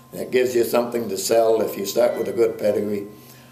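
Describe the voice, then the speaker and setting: With audible room echo around him, the man speaks very fast. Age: 70s. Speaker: dairy cattle breeder. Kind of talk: interview. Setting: on a farm.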